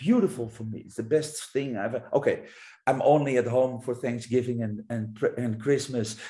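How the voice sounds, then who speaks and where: Somewhat breathy and dark, mellow in tone, a man talks at a moderate pace and medium pitch with fairly even intonation. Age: 50s. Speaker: public speaker. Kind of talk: podcast interview.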